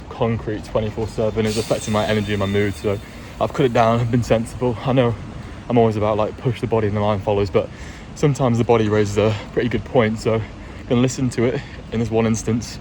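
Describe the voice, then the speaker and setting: Over noticeable background noise, a man talks at a very fast pace, medium in pitch with monotone, flat intonation. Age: 20s. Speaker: vlogger, university student. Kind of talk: casual vlog talk.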